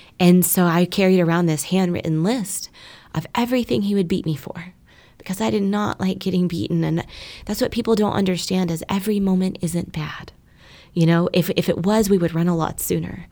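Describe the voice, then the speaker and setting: A woman with an American accent talks at a fairly quick pace, in a normal speaking voice. Her pitch is medium, with ordinary variation. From North Texas (Keller, near Fort Worth). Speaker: trafficking survivor and advocate. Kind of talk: testimony.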